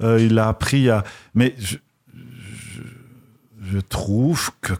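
A man speaks with a Belgian accent at a fairly low pitch. His pitch varies in an ordinary way, and the sound is dry and close with no echo. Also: very clean recording, silent background. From Belgium. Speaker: novelist and university lecturer. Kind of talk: radio interview. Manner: halting with repetitions.

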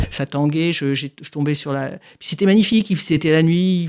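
On a very clean recording with a silent background, a woman with a very deep, low pitch and a dark, mellow tone speaks at a moderate pace with ordinary pitch variation. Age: 60s. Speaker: author with paraplegia. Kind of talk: testimony. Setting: studio. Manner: halting.

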